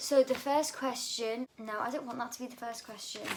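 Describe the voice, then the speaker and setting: Noticeable background noise sits behind the speaker. A woman talks at a moderate pace with ordinary pitch variation. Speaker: vlogger. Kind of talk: casual Q&A vlog.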